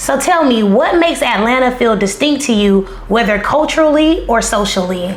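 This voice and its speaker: A high-pitched woman with a Southern US accent, very wide pitch swings, very even loudness, and moderate pace, amid noticeable background noise and audible room echo. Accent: Southern country. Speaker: documentary maker and interviewer. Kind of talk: interview conversation. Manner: casual, conversational.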